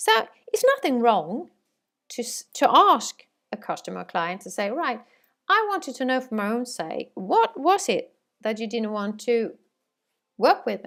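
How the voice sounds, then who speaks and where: A woman with a Swedish accent, high in pitch with very wide pitch swings, long and frequent pauses, and a very clean recording with a silent background. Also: fairly slow pace. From Sweden. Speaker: sales trainer. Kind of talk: training course lecture. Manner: halting, many fillers.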